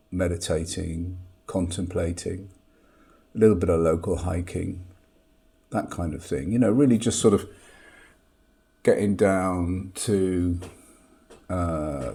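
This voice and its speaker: A man's very deep, low, dark and mellow voice with vocal fry, ordinary pitch variation, a fairly slow pace and long, frequent pauses. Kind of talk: casual talk to camera.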